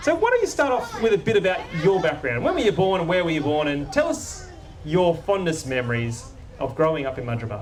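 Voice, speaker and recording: With an Australian accent, a man talks very fast in a high voice with very wide pitch swings, amid audible room echo and noticeable background noise. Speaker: local councillor and event host. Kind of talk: public event hosting and interview. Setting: outdoor stage with audience in a park.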